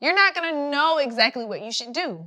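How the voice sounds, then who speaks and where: With a Southern accent, a woman's voice swings very widely in pitch. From US South, rural Georgia. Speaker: writer and public relations consultant. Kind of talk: inspirational talk.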